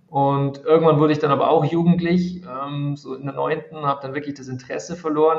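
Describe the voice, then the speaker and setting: A man's normal speaking voice, fairly high in pitch for a man, at a moderate pace. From Bavaria, Regensburg. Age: 30s. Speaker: math tutor and education creator. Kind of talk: interview.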